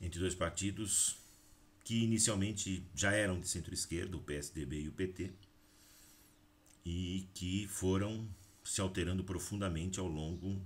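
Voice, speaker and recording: Long, frequent pauses break up a man's somewhat breathy speech, which has a very deep, low pitch and fairly even intonation. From Brazil, Valinhos (São Paulo state). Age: 40s. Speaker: teacher and local politician. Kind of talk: political address to camera.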